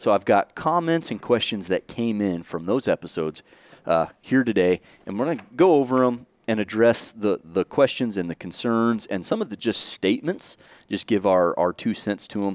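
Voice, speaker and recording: With lively intonation at a moderate pace, a man has an ordinary speaking voice with a fairly low pitch and a dry sound with no echo. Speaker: podcast host. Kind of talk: podcast intro talk. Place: studio. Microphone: headset.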